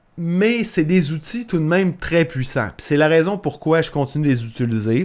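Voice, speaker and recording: On a very clean recording with a silent background, a man with a Quebec accent speaks fairly slowly in a fairly high pitch with lively intonation. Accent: Québécois. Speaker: podcast host, entrepreneur. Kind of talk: solo podcast tutorial. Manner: casual, many fillers and repetitions.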